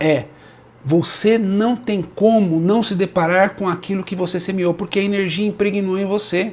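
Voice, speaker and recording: The man speaks with a high pitch and fairly even intonation. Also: moderate pace. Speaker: Umbanda priest. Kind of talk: live stream talk. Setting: live stream.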